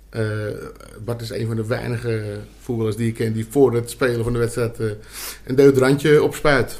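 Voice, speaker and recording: His intonation is monotone and flat, with a medium pitch and a somewhat breathy sound. The man keeps a moderate pace. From Amsterdam. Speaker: podcast co-host, former amateur footballer. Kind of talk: casual chat. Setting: studio.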